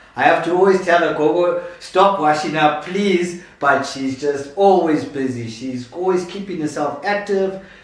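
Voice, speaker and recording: Noticeable background noise and audible room echo surround a man whose fairly high voice sounds animated, with ordinary pitch variation and a fairly slow pace. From Zimbabwe. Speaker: YouTube channel host. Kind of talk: interview. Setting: at the host's home.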